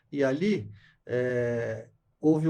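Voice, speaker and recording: A man talks in a somewhat breathy voice. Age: 70s. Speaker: company CEO. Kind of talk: podcast interview.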